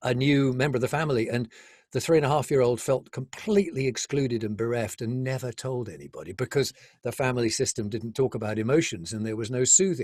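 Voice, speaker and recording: A man talks at a very fast pace. His voice is medium in pitch with ordinary pitch variation. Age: 70s. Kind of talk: interview.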